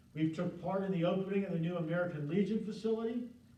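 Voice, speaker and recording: Over noticeable background noise and audible room echo, a man with a high pitch talks at a very fast pace. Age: 60s. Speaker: volunteer show host for first responder and veteran wellness. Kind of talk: year-end review talk. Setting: studio, live in the room.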